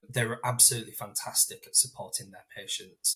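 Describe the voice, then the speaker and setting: With a Yorkshire accent, a man speaks at a fairly quick pace. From northern England, Hull. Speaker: inclusion leader with Crohn's disease. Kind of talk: podcast interview.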